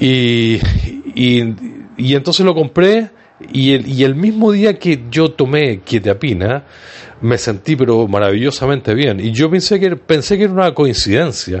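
A man at a fairly slow pace, with very wide pitch swings and very even loudness. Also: medium pitch for a man. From Chile. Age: 60s. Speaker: online radio host, support group organizer. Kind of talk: casual livestream talk.

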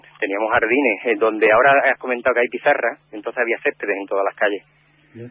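His intonation fairly even, a man talks at a very fast pace. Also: medium pitch for a man. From Cáceres, Extremadura, Spain. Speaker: neighbourhood community organiser. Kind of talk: radio interview.

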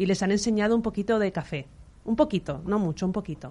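A woman of medium pitch talks at a very fast pace. Her intonation is lively. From Valencia, Spain. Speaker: coffee business owner. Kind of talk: interview.

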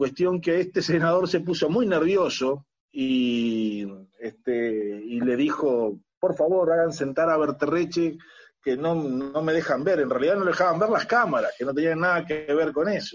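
A man with a Uruguayan accent, fairly high in pitch with lively intonation, at a fairly slow pace and very even loudness. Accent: Rioplatense Spanish (Uruguayan). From Uruguay, Montevideo (La Teja). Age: 50s. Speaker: agronomist and former senator. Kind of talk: interview. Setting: video call.

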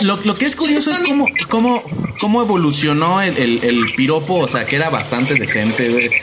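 Amid noticeable background noise and audible room echo, a man with a Mexican accent speaks in an animated tone at a fairly quick pace, his high pitch swinging very widely while his loudness stays very even. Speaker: podcast host. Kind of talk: casual chat. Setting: internet radio studio.

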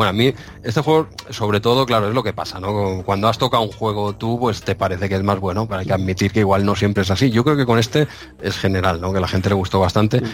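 A very fast male voice at fairly low pitch with ordinary pitch variation, over noticeable background noise. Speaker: podcast co-host. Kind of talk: casual chat.

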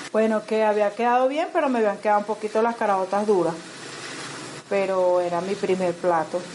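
A woman talks at a fairly quick pace and medium pitch amid noticeable background noise. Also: ordinary pitch variation, very even loudness. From Venezuela, Caracas. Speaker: Venezuelan migrant home cook. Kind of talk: casual cooking chat and personal testimony.

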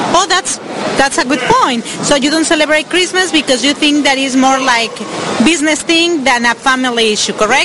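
Over noticeable background noise, a woman with a Spanish accent projects a raised voice at a high pitch, keeping her loudness very even, her pitch variation ordinary and her pace moderate. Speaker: radio host doing street interviews. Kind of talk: vox pop street interview.

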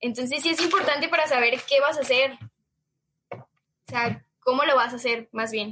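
A raised, projected female voice, high-pitched, with a Mexican accent and a moderate pace. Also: ordinary pitch variation. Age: 20s. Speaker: marketing student and small business founder. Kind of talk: casual interview.

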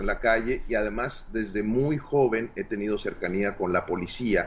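Here is a man with an unremarkable speaking voice at a medium pitch. He speaks at a moderate pace with lively intonation. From Mexico, Hermosillo, Sonora. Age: 40s. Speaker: martial arts instructor. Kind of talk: interview.

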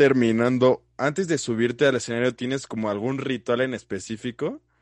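A man speaks at medium pitch against a quiet background. The sound is dry and close, with no echo. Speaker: podcast host. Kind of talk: casual interview. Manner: chatty.

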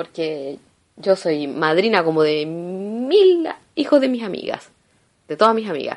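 With a Chilean accent, a woman talks in an animated tone at a medium pitch. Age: 30s. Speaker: podcaster. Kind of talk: casual monologue.

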